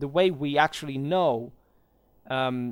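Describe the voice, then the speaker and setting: Heard in a very clean recording against a silent background, a man with a non-native accent speaks in a fairly high voice with ordinary pitch variation. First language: not English. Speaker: history commentator. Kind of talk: video commentary monologue. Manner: halting, many fillers and repetitions.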